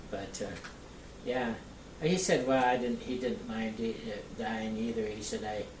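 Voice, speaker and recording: The speech moves at a fairly slow pace with long, frequent pauses. Noticeable background noise sits behind it. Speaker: local history interviewer. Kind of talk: casual conversation.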